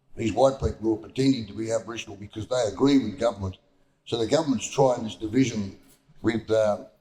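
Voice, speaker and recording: Somewhat breathy and dark, mellow in tone, a man with a medium pitch speaks very fast with fairly even intonation. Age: 80s+. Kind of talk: panel discussion. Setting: town hall forum with audience.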